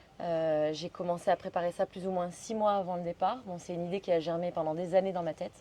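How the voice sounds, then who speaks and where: A woman speaks at a moderate pace in a fairly low pitch. Her tone is dark and mellow. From Belgium. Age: 30s. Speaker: solo bicycle traveler. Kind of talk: podcast interview. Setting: hotel in Pai, Thailand.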